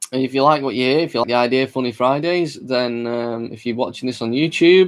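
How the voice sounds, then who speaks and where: A man with a Mancunian accent talks at a very fast clip. His pitch sits in the medium range. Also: ordinary pitch variation. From Manchester, England. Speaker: podcast host. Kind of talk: casual chat. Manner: hesitant, filler-heavy.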